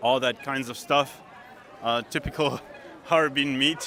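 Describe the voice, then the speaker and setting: Fairly slow and fairly high-pitched, a man's voice shows ordinary pitch variation. Noticeable background noise runs behind him. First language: German. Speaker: travel vlogger. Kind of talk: casual walking vlog. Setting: outdoors at a street market.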